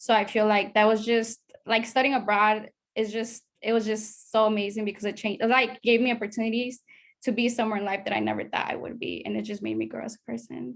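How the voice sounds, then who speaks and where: A woman's fairly high voice with a Spanish accent. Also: quiet background. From Latin America, moved to US at about seven. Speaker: study abroad alumna. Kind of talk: panel discussion.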